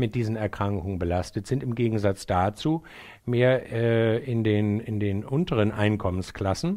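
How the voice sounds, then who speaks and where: The background is quiet. A man talks at a moderate pace and medium pitch with ordinary pitch variation. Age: 60s. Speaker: psychiatrist. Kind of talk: interview. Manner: hesitant, many fillers.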